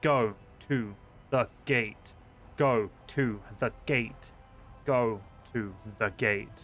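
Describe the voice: Using a put-on character voice at medium pitch, a man speaks at a very slow pace with long, frequent pauses and very even loudness while clear music plays in the background.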